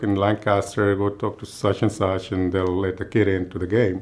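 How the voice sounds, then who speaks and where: Speaking with a Spanish accent, a man has a fairly low voice. The background is quiet. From Guadalajara, Mexico. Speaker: state legislator. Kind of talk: interview monologue.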